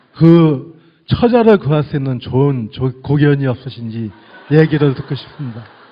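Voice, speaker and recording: A man speaks in an ordinary speaking voice with a fairly high pitch. His pace is moderate. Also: ordinary pitch variation. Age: 50s. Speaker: audience questioner, office worker. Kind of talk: audience question.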